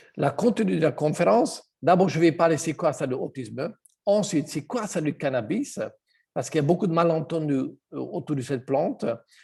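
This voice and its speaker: A man with a fairly high pitch and a dark, mellow tone speaks at a moderate pace with lively intonation. His loudness swings widely, and vocal fry comes through. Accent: Hungarian. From Hungary. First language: Hungarian (speaking French). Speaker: health product seller. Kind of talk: online presentation. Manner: halting.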